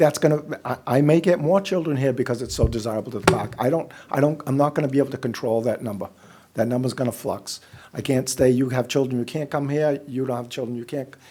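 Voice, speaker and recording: Over noticeable background noise, a man talks at a very fast pace, his medium pitch showing ordinary variation. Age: 60s. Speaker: housing developer. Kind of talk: public meeting presentation. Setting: public meeting room.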